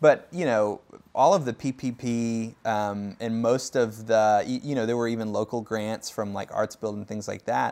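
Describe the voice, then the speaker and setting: A plain, everyday voice: a man at medium pitch with an American accent, talking at a moderate pace with fairly even intonation. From US Midwest, Davenport, Iowa. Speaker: record label and store founder. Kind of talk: interview.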